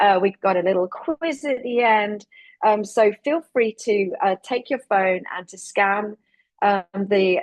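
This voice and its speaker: A woman with a strong English accent talks at a moderate pace and a medium pitch. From England, rural Lincolnshire. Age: 40s. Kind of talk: webinar presentation. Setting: virtual webinar. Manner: hesitant fillers.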